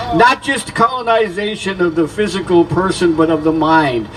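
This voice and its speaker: Through noticeable background noise, a man with a high pitch speaks in an animated tone at a moderate pace. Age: 70s. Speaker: activist speaker at a rally. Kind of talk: protest rally speech. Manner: halting.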